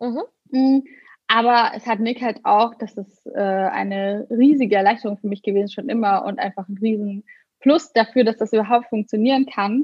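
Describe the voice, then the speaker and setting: A somewhat breathy woman speaks at a moderate pace, her fairly high pitch showing ordinary variation. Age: 30s. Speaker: blogger and influencer. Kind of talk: casual interview.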